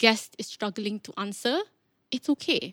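Talking fairly slowly in a plain, everyday voice, a woman has a fairly high pitch and lively intonation. The sound is dry and close with no echo, on a very clean recording with a silent background. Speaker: podcast host and public speaker. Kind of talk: casual interview chat.

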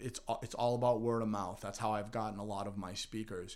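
With fairly even intonation, a man speaks in an ordinary speaking voice at a medium pitch. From Massachusetts, North Andover. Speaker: middle school teacher. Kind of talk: podcast interview.

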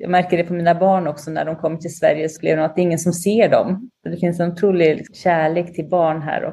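Her fairly low voice has a dark, mellow tone and a monotone, flat delivery. This woman talks at a fairly quick pace with hardly any pauses. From Sweden, Linköping. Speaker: radio journalist and TV commentator. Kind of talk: interview conversation.

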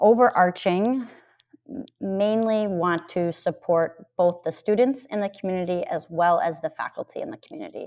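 With an American accent and lively intonation, a woman talks in a normal speaking voice at medium pitch and a moderate pace. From Minnesota, US Midwest. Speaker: middle school administrator and math teacher. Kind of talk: interview.

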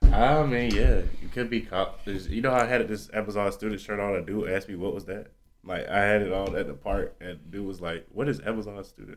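Mumbling, a man speaks at a fairly quick pace. He leaves hardly any pauses. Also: fairly low pitch for a man, ordinary pitch variation. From US South. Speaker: podcast host. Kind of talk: casual chat. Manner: people think he is mumbling.

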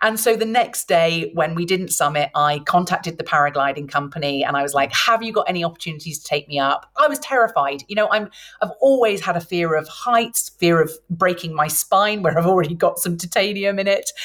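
Speaking in a British accent, a woman has a fairly low pitch and lively intonation. She goes at a fairly quick pace with hardly any pauses. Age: 40s. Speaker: midlife transformation mentor. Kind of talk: interview.

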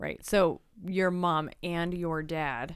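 A woman speaks very slowly in a fairly low voice with fairly even intonation, on a very clean recording with a silent background. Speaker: podcast co-host and interviewer. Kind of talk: casual chat.

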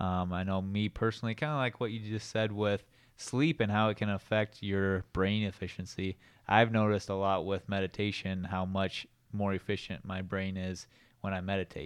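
Over a quiet background, a plain, everyday voice moves at a moderate pace with fairly even intonation. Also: man, fairly low pitch for a man. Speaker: chiropractic doctor, co-host. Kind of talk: casual educational discussion.

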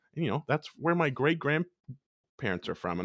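Using vocal fry, a man with a fairly high pitch speaks at a fairly quick pace, his pitch swinging very widely. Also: dry, close sound with no echo. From Prince Edward Island, Canada. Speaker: music educator, podcast host. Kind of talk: interview conversation. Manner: animated, halting with fillers.

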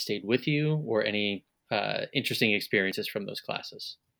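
This man has a plain, everyday voice with a medium pitch and a fairly quick pace. The recording is very clean, with a silent background. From Long Island, New York. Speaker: interviewer, radio alumnus. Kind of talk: interview.

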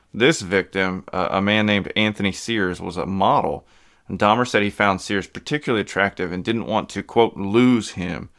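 A man in a normal speaking voice, fairly low-pitched with ordinary pitch variation, at a fairly quick pace on a very clean recording with a silent background. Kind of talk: true-crime narration. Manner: measured, grave, storytelling delivery; clear, steady, informative.

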